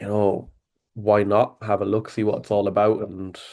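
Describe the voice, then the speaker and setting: A man with an Irish accent at a moderate pace. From Ireland, Athlone (midlands). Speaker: sales worker, call prospect. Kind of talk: casual interview on a call. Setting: call. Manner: hesitant, filler-heavy.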